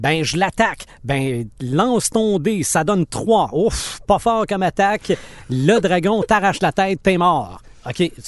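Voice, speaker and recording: In a high voice with lively intonation, a man speaks very slowly. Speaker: podcast co-host. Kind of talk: casual chat.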